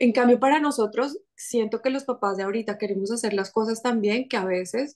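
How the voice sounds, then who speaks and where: A woman's fairly high voice at a fairly quick pace, with ordinary pitch variation and a quiet background. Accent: Colombian. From Colombia, Bogotá. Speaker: children's book author. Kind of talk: podcast interview.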